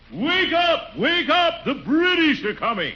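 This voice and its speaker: A loud, shouted put-on character voice at a fairly slow pace, over light background noise. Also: man, extremely high pitch for a man. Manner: fiery, forceful, shouting.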